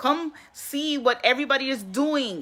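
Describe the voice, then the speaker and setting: With music in the background, a woman at a high pitch speaks fairly slowly in a raised, projected voice. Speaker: online business promoter. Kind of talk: live stream sales pitch. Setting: live stream.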